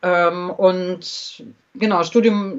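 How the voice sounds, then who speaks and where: Here a woman speaks at a medium pitch. Her intonation stays fairly even. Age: 50s. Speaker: journalist and author. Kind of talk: casual interview. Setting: remote call via Skype.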